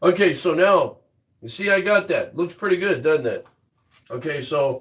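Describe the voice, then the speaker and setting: This man speaks in a high pitch with ordinary pitch variation. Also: moderate pace. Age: 60s. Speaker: woodturner. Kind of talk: live-stream tutorial. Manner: casual, rambling with fillers.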